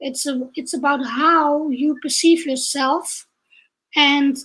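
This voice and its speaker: Very slowly and with fairly even intonation, a woman speaks in a high pitch. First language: Dutch. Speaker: leadership trainer and coach. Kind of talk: online interview.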